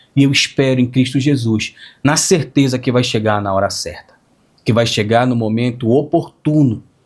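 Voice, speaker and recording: A man at medium pitch, somewhat breathy, with ordinary pitch variation and a moderate pace. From northern Brazil, Pará (Capanema). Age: 30s. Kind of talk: religious testimony. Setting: small gathering with pastor and friends.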